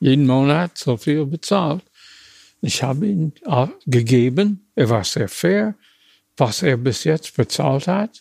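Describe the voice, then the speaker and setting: In a dry, close recording with no echo, a man with an American accent speaks very slowly in a somewhat breathy, fairly high voice, with very wide pitch swings and long, frequent pauses. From US, small town. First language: English (speaking German). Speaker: retired car designer. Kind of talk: interview. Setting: historic building among cars at carmaker's factory. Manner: halting.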